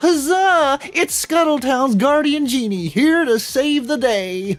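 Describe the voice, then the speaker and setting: A put-on character voice speaks at a high pitch and a fairly slow pace. Faint music plays in the background. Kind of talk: grandiose, archaic. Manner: boastful, theatrical.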